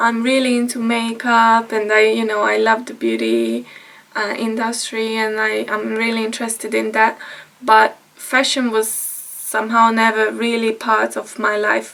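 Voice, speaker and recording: A woman with a Hungarian accent speaks at a fairly slow pace over noticeable background noise. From Hungary. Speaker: vlogger. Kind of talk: casual vlog talk. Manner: halting, with fillers.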